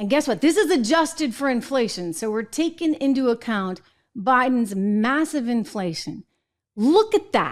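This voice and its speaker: Very wide pitch swings from a woman with a high pitch, at a moderate pace. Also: quiet background. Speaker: show host. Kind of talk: political commentary. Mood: indignant, sarcastic. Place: studio. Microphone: studio mic.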